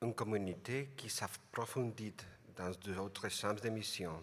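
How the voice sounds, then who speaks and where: The speaker has a non-native accent. The delivery is very slow. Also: man. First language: not French (speaking French). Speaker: international lay community representative. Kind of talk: prepared speech. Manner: halting.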